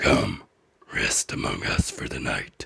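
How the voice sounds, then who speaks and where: In a put-on character voice, the speaker whispers, rasps and growls at a fairly slow pace. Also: man. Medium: read story. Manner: gruff but kind.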